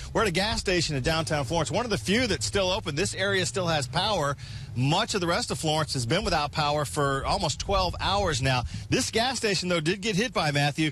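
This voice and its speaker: A man's fairly high voice carries lively intonation and very even loudness at a fairly quick pace. There is noticeable background noise. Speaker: television news reporter. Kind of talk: TV news report, live reporting. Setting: live outdoors during a hurricane, windy. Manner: urgent, serious.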